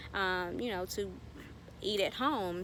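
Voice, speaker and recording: With a Southern US accent, a woman talks at a fairly slow pace with fairly even intonation. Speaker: gardening YouTuber. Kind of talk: tutorial. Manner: casual, filler-heavy.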